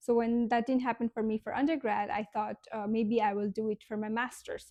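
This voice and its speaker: A woman with a Nepali accent speaks at a fairly high pitch in a dark, mellow tone. The sound is dry and close, with no echo. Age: 20s. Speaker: vlogger. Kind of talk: casual vlog monologue. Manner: halting, many fillers.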